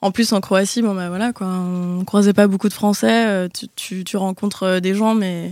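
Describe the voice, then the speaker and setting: A woman with an ordinary speaking voice talks at a moderate pace with fairly even intonation. The recording is very clean, with a silent background. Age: 20s. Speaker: actress. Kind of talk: casual chat.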